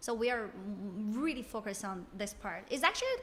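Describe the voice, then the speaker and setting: Noticeable background noise sits behind a woman speaking at a moderate pace. Her voice is fairly high, with ordinary pitch variation. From China. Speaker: sex educator and therapist. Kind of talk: podcast interview.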